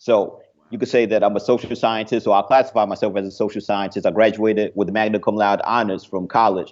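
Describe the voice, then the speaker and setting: A man with an American accent speaks at a very fast pace, barely pausing. His fairly low voice stays monotone and flat. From New Jersey, Jersey City. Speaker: entrepreneur and author. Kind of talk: interview.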